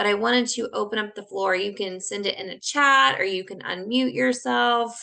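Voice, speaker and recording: A woman's bright, sharp tone moves through very wide pitch swings. She speaks with hardly any pauses. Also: medium pitch for a woman. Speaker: volunteer program coordinator hosting a webinar. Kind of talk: online presentation / webinar. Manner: fast.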